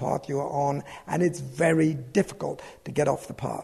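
A fairly high-pitched man with a British accent at a moderate pace, amid noticeable background noise. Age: 70s. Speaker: businessman and adventurer. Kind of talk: reflective interview.

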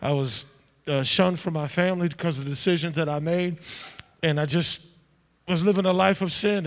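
Pitched high, a man speaks at a fairly quick pace with ordinary pitch variation and long, frequent pauses. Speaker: church prayer leader. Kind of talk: fervent congregational prayer. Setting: church with congregation. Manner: loud, passionate, commanding.

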